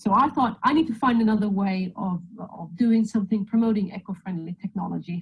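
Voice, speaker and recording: A somewhat breathy voice moves at a fairly quick pace with ordinary pitch variation. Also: woman. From Sweden. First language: Swedish. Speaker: mechanical engineer and electric motorcycle racer. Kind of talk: presentation. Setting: video call.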